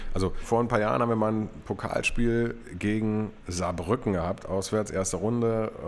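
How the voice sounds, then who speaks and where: Noticeable background noise beneath moderately paced speech with fairly even intonation. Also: man, fairly low pitch for a man. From East Berlin. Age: 40s. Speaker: football club stadium announcer and press spokesman. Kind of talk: casual interview.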